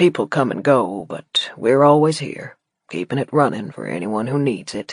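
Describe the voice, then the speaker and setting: Putting on a character voice, a man drawls at medium pitch with very wide pitch swings. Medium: read story. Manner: drawling, laconic.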